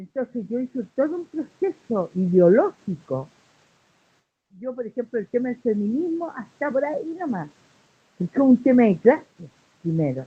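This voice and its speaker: In a Chilean accent at a moderate pace, the speaker uses very wide pitch swings, big swings in loudness and long, frequent pauses, all in a dry, close sound with no echo. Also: woman, high pitch for a woman. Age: 60s. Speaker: human rights activist. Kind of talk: interview. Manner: animated.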